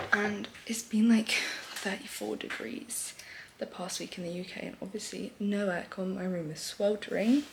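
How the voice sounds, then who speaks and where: Noticeable background noise sits under a woman's voice. She speaks at a moderate pace at medium pitch with ordinary pitch variation. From UK. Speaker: vlogger. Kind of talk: casual vlog chat. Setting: at home, early morning. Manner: animated.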